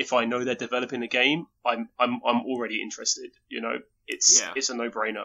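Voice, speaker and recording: A man with an English accent speaks at a fairly quick pace. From England. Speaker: video game enthusiast. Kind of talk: casual chat. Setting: remote call.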